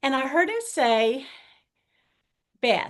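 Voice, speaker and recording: A woman with a Southern US accent speaks at a very slow pace, her intonation lively. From US South. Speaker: author and pastor's wife. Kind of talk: interview testimony.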